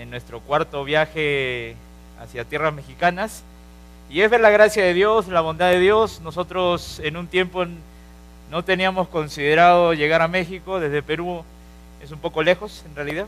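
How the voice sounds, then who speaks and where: A man with a Peruvian accent speaks at a high pitch and a moderate pace, with ordinary pitch variation and big swings in loudness. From Peru, Lima. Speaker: preacher. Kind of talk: sermon.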